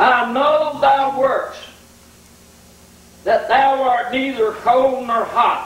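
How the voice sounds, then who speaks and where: A man at a very slow pace with long, frequent pauses, fairly even intonation and audible room echo. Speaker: preacher. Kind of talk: revival sermon. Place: church.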